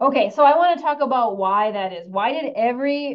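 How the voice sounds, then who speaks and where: A woman speaks in a normal speaking voice with lively intonation. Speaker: university researcher presenting a study. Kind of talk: webinar presentation.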